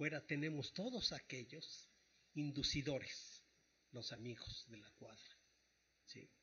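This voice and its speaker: Speaking very slowly with long, frequent pauses, a man with a fairly high pitch shows big swings in loudness. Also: ordinary pitch variation. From Mexico, Tlaxcala. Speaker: psychologist. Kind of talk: radio interview.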